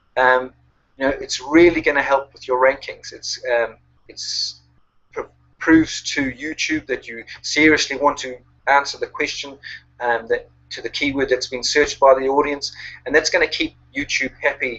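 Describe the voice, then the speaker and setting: With a New Zealand accent, a man talks at a moderate pace while his loudness swings widely. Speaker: online marketing coach. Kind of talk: webinar presentation. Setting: online webinar. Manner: halting, many fillers.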